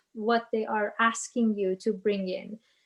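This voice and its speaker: A woman with a Persian accent speaks at a fairly slow pace, her fairly high pitch kept in fairly even intonation. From Iran. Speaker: business manager and guest speaker. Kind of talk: Q&A talk. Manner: halting.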